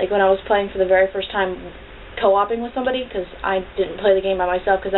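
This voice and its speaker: Mumbling very fast at a medium pitch, a woman speaks against noticeable background noise. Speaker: video blogger. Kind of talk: casual vlog review. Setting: at home on camera with cat. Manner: mumbling, runs words together; animated.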